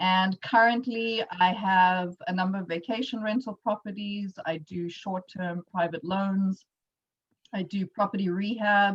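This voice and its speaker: A woman with a South African accent is heard in a dry, close sound with no echo. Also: medium pitch for a woman, fairly slow pace. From South Africa, Johannesburg. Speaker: entrepreneur and workshop presenter. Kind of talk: workshop presentation. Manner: casual with frequent fillers.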